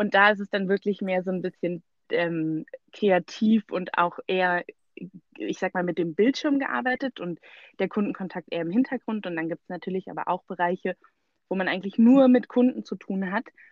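A woman with a normal speaking voice at medium pitch. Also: ordinary pitch variation, moderate pace. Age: 20s. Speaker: recent graduate, student. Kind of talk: interview.

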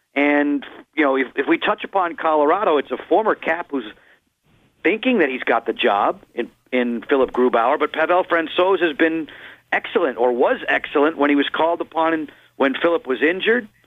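Fairly high in pitch, a man speaks with an unremarkable speaking voice. His pace is fairly quick and his intonation lively. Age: 50s. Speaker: hockey play-by-play broadcaster. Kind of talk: radio interview.

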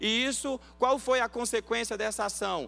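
A raised, projected voice with a bright, sharp tone at a moderate pace. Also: man. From Bahia, Brazil, raised in São Paulo. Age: 30s. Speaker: pastor. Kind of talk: sermon.

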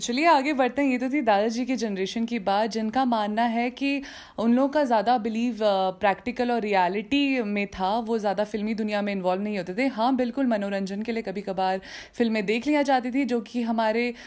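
A woman speaks in a plain, everyday voice at a fairly high pitch and a moderate pace, with ordinary pitch variation. The recording is very clean, the background silent. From Uttarakhand, Garhwal hills. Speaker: podcast host. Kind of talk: casual podcast monologue.

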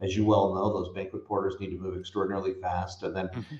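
An American accent marks this man's speech, which has ordinary pitch variation. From US West Coast (San Francisco Bay Area). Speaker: hospitality company co-founder. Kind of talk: interview conversation.

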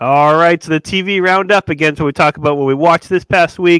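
An unremarkable speaking voice moves at a fairly quick pace with ordinary pitch variation. The recording is very clean, with a silent background and a dry, close sound with no echo. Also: man. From Massachusetts (Newburyport area). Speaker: podcast co-host. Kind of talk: casual chat.

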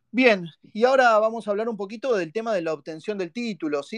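A man speaks in an animated tone with lively intonation, recorded dry and close with no echo against a quiet background. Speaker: fan podcast host. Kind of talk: live call-in fan show. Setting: live online audio space.

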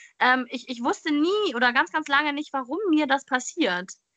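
Her tone is bright and sharp as the woman raises and projects her voice. The sound is dry and close, with no echo. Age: 20s. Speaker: podcast host, trained educator. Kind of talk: interview guest telling life story. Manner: hesitant, many filler sounds.

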